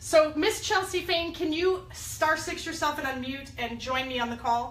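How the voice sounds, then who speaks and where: There is noticeable background noise as a woman with a high pitch speaks in an energetic tone. Her pace is moderate and her pitch variation ordinary. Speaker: network marketing leader hosting a company call. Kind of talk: conference call hosting.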